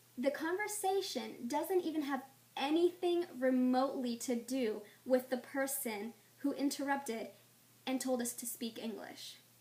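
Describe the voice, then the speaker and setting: Animated and lively in intonation, a woman speaks at a fairly slow pace. Her pitch is high. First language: Spanish. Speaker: vlogger. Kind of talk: rant.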